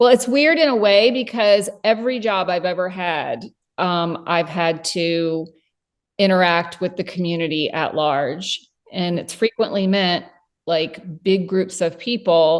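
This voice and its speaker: In a quiet background, a woman with an ordinary speaking voice talks at a fairly slow pace, medium pitch and ordinary pitch variation. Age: 50s. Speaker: cleaning business owner. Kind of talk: casual interview chat.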